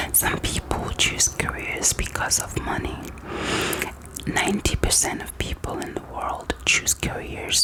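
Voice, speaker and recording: A woman whispers in a gentle tone amid noticeable background noise. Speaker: ASMR creator. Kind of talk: ASMR therapist roleplay, personal attention. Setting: close-mic studio with gum chewing mouth sounds. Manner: soft, gentle, slow.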